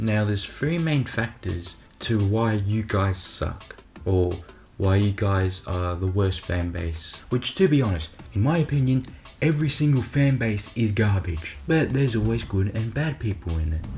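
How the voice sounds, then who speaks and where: The talking proceeds at a moderate pace while noticeable background noise stays present. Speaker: YouTube commentary creator. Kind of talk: rant. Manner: casual, conversational.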